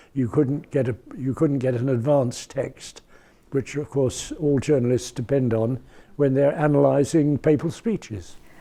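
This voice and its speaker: A fairly slow male voice with a dark, mellow tone and a British accent. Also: medium pitch for a man, ordinary pitch variation. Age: 80s+. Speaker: retired foreign correspondent. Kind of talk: interview answer. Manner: hesitant, reflective.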